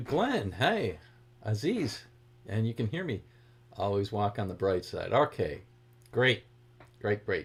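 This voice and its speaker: Somewhat breathy, a man with an American accent speaks at a fairly slow pace. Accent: Boston accent, leaks occasionally. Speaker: guitar teacher. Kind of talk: livestream guitar lesson, greeting chat viewers. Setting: live stream. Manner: casual, chatty.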